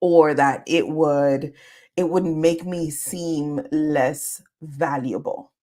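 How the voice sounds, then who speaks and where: Very slow and very deep, a woman's low-pitched voice comes with an American accent. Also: ordinary pitch variation. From Caribbean and New York. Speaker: career coach. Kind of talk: live stream Q&A. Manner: animated.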